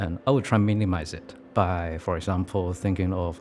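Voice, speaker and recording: A man with a Hong Kong accent speaks in a very deep, low pitch at a moderate pace. His intonation is fairly even, with music in the background. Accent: Hong Kong Cantonese-accented English. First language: Cantonese. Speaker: artist. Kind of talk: interview monologue. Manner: reflective.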